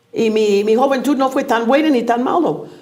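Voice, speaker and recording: A woman at a fairly high pitch and fairly slow pace, with noticeable background noise and audible room echo. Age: 70s. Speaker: teacher. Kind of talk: interview.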